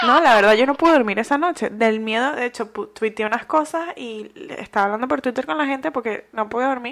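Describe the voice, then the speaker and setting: Lively in intonation, a woman with a high pitch talks at a fairly quick pace with hardly any pauses. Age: 20s. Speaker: podcast co-host. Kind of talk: casual chat.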